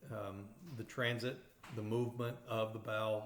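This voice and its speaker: Speaking in an East Texas accent at a moderate pace, a man with a medium pitch is heard with audible room echo. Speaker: radiography instructor. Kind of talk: lecture. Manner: halting, frequent fillers and repeated words.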